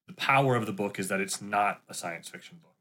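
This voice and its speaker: A man's bright, sharp voice at a very fast clip, on a very clean recording with a silent background. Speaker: gym owner. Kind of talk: casual chat.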